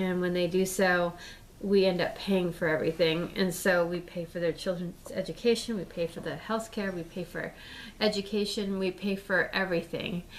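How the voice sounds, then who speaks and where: A woman with an American accent talks at a moderate pace and medium pitch, her intonation monotone and flat. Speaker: political vlogger. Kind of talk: casual vlog monologue. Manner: halting, many fillers and repeats.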